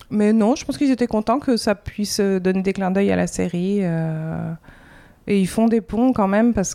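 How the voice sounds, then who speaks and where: On a very clean recording with a silent background, a woman talks at a fairly slow pace in a plain, everyday voice with ordinary pitch variation. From France. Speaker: comics artist. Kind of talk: interview. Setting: in-person interview in Montreal.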